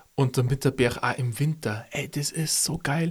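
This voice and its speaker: A man talks fairly quickly in a fairly high, somewhat breathy voice, keeping his intonation fairly even. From Upper Palatinate, Bavaria. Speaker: podcast co-host. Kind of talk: casual chat.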